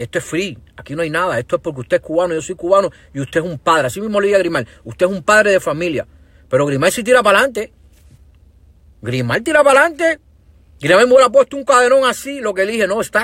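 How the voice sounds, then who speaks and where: Very fast, animated speech from a high-pitched man, with very wide pitch swings and a dry sound with no echo over a quiet background. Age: 40s. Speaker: social media livestreamer. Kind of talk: livestream rant. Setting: Facebook live stream. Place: car. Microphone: earbuds.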